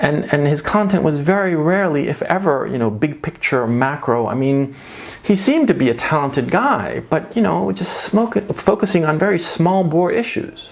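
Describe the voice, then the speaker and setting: At a moderate pace, a man with an American accent speaks with lively intonation and a fairly high pitch over noticeable background noise. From United States. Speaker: online commentator. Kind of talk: monologue commentary.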